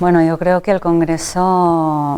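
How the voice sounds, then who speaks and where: A woman's very slow, monotone delivery with flat intonation, in a Catalan accent, over noticeable background noise. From Catalonia, Spain. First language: Catalan (speaking Spanish). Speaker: nursing researcher and professor. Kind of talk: interview.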